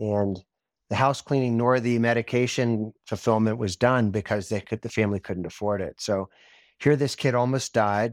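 This man has a plain, everyday voice of medium pitch, speaking at a moderate pace with fairly even intonation in a very clean recording with a silent background and a dry, close sound with no echo. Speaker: physician and healthcare company CEO. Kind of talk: interview.

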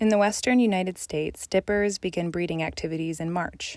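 A woman's fairly low-pitched voice, an ordinary speaking voice, with an American accent, moderate pace and fairly even intonation in a very clean recording with a silent background. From Colorado. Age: 20s. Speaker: graduate student and nature writer. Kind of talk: reading aloud.

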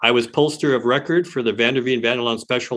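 Using a plain, everyday voice, a man with an American accent speaks at a medium pitch and fairly quick pace with ordinary pitch variation. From Detroit, Michigan. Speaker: pollster. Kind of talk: interview.

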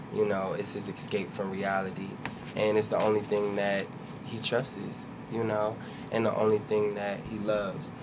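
A man with an American accent talks at a fairly low pitch, with audible room echo and noticeable background noise. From Trenton, New Jersey. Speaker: web series creator and producer. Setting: radio studio.

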